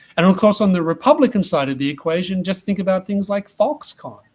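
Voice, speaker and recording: Here a man talks with an Australian accent. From Australia (Tasmania). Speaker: economist. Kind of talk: interview answers.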